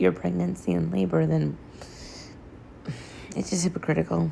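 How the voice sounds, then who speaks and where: A soft-spoken woman is talking. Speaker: social media commentator. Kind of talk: casual talk to camera. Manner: quiet, soft-spoken.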